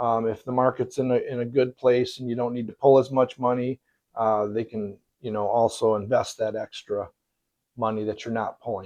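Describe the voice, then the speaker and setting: A man's dark, mellow voice in a monotone, flat intonation. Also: medium pitch for a man, moderate pace. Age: 60s. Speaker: retirement vlogger. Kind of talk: casual explainer monologue. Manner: halting, many fillers.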